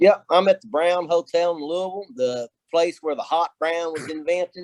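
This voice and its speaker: Dry and close with no echo, a man's high voice moves at a moderate pace with fairly even intonation. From Kentucky. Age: 50s. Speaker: distiller and professor. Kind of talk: casual interview.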